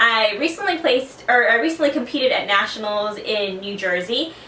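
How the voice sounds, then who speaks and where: A high-pitched woman with an American accent, audible room echo and noticeable background noise. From South Texas. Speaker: fitness competitor. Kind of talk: personal testimony.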